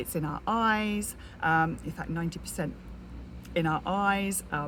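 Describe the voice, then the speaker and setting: A quiet, whispering woman in a British accent, at a fairly slow pace. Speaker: network marketer. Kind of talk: casual vlog. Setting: outdoors in garden. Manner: whispering, quiet.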